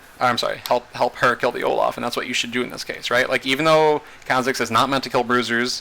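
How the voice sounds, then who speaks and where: Against noticeable background noise, a man speaks in a monotone, flat way. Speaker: video game coach. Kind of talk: tutorial. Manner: fast; casual, with many fillers.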